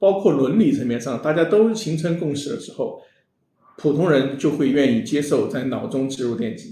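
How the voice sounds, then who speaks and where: A man with a fairly high pitch, a dark, mellow tone and a somewhat breathy voice speaks at a moderate pace with lively intonation. His loudness swings widely, and audible room echo surrounds him. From China, Sichuan. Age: 40s. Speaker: tech startup founder and CEO. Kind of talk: interview on a live-streamed show. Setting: live stream studio.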